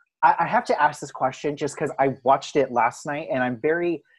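A man at a moderate pace, fairly high in pitch, with an ordinary speaking voice. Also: quiet background. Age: 20s. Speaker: podcast host. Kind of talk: casual interview chat.

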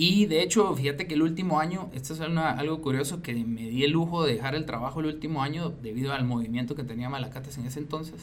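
A man with a fairly high pitch and ordinary pitch variation, at a very fast pace with hardly any pauses. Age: 40s. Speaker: business manager and musician. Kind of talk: interview.

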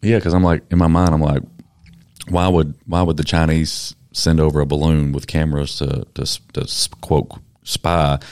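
On a very clean recording with a silent background, a man with a Southern US accent speaks at a very deep, low pitch with fairly even intonation. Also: moderate pace. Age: 30s. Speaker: podcast host. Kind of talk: casual interview. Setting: studio.

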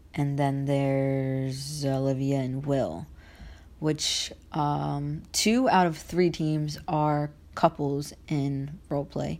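A woman speaks very slowly in a very deep, low voice. Her intonation is fairly even, and the recording is very clean with a silent background. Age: 20s. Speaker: online wrestling league organizer and podcast host. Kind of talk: casual monologue. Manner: rambling, filler-heavy.

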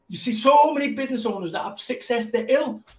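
Someone talks at a very fast pace with a Mancunian accent. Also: man. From Manchester, England. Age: 50s. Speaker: motivational business speaker. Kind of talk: casual interview. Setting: live video stream. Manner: high-energy.

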